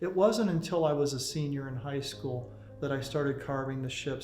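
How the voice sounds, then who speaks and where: A man speaks at a fairly high pitch with ordinary pitch variation, and room echo is audible. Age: 60s. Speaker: ship model carver. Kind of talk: documentary interview.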